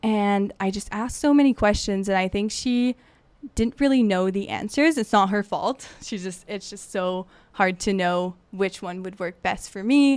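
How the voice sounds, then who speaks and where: A woman speaks with a French Canadian accent at a moderate pace. Her pitch is medium, with ordinary variation. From Quebec. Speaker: podcast co-host, graduate researcher. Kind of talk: casual chat.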